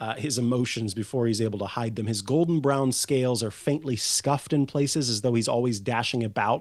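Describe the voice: Text read aloud plainly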